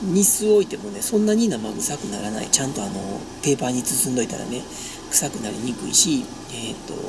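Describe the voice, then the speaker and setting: A woman talks at a fairly quick pace. Noticeable background noise runs through the clip. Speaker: vlogger. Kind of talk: casual vlog chat. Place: car. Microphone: phone near.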